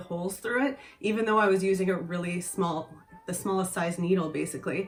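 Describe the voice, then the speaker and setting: Over noticeable background noise, a woman with a medium pitch speaks at a very fast pace. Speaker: sewing vlogger. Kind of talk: casual talk to camera.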